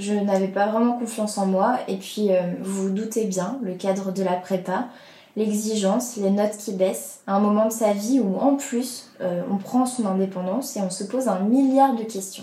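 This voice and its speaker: Her voice set at medium pitch with fairly even intonation, a woman talks at a fairly slow pace amid audible room echo. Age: 20s. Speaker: podcast host. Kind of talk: personal testimony.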